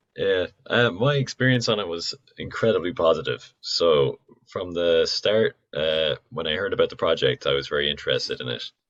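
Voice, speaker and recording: In a Dublin accent, a man speaks at a moderate pace. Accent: Irish, Dublin. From Dublin, Ireland (Donabate). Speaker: musician. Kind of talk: casual chat.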